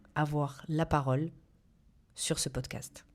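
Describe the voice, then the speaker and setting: Very deep and low in pitch, a woman's voice comes through on a very clean recording with a silent background. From southeastern France, small town. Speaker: podcast host, journalist and dietitian. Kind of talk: scripted podcast monologue. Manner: trying to smooth out her accent.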